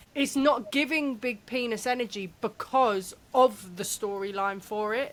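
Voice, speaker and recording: Speaking at a fairly slow pace, a woman uses a plain, everyday voice with a fairly high pitch and ordinary pitch variation. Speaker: podcast co-host. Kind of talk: casual chat.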